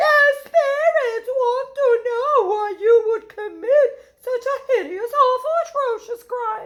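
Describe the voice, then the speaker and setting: Extremely high pitch and a fairly slow pace in a put-on character voice. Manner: slow, spooky; solemn, questioning.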